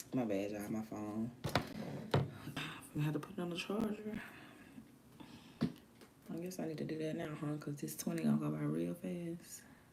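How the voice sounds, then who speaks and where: A woman speaks with very deep, low pitch and very wide pitch swings, leaving long, frequent pauses. Audible room echo and noticeable background noise surround her. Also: moderate pace. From US South (Alabama). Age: 30s. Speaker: live streamer and music artist. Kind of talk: casual live stream chat. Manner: animated.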